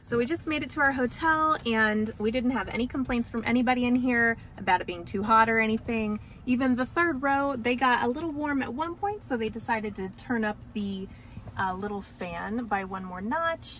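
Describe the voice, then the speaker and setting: A woman speaks at a moderate pace with ordinary pitch variation. The sound is dry with no echo, with light background noise. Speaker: family vlogger. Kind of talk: casual vlog chat. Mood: cheerful, relaxed.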